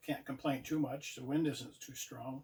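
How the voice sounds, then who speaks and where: A man speaks at a fairly high pitch and moderate pace, somewhat breathy. His tone is relaxed and his intonation monotone and flat. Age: 70s. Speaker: outdoor vlogger. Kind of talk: casual vlog talk. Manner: relaxed, halting with fillers.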